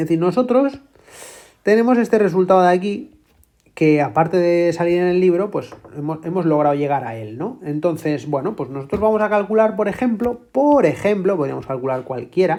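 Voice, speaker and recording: With a Spanish accent, a woman speaks at a moderate pace in a dark, mellow tone, her pitch swinging very widely. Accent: Spain Spanish. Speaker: math tutor. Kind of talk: tutorial.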